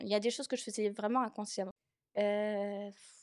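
The recording is dry and close, with no echo. A woman speaks at a fairly high pitch. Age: 20s. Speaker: artist. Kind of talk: testimony. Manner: halting.

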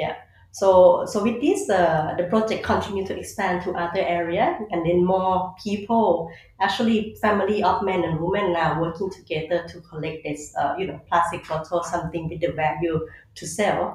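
In a Thai accent, a woman speaks at a moderate pace with fairly low pitch and ordinary pitch variation. Audible room echo and noticeable background noise come through. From Thailand. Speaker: conservationist. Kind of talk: interview. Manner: halting.

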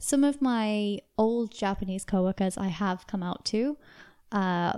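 In a British accent, a woman at medium pitch speaks at a very slow pace with a dark, mellow tone. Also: very clean recording, silent background. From UK. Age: 20s. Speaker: podcast guest. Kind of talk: casual interview.

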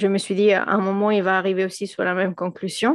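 Here a woman speaks with a Spanish accent at medium pitch. The background is quiet. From Venezuela. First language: Spanish (speaking French). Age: 30s. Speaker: physicist and engineer, mother. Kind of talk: podcast interview. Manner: hesitant, many fillers and repetitions.

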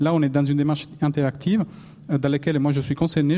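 With an Italian accent, a man talks in a dark, mellow tone at a fairly high pitch. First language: Italian (speaking French). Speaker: newspaper infographics editor. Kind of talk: panel discussion. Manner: halting.

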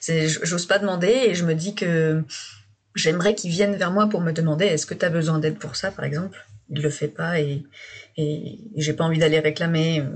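A woman's somewhat breathy, fairly low-pitched voice at a moderate pace, with fairly even intonation. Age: 30s. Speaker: guest sharing couple difficulties. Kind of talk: personal testimony. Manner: halting.

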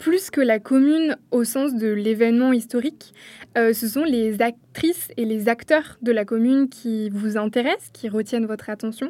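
In a dark, mellow tone, a woman speaks at a fairly slow pace with a fairly high pitch and ordinary pitch variation. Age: 20s. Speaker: radio interviewer. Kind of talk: interview.

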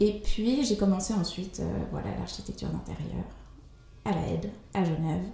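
The talker is female, speaking at a moderate pace. Room echo is audible, and background noise is noticeable. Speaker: interior architect. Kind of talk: interview. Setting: at her home. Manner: lively; hesitant with repetitions.

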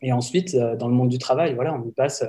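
Somewhat breathy and dark, mellow in tone, a man speaks at a medium pitch. He keeps a fairly quick pace and fairly even intonation. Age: 30s. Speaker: industrial sector employee and wellbeing consultant. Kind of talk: interview.

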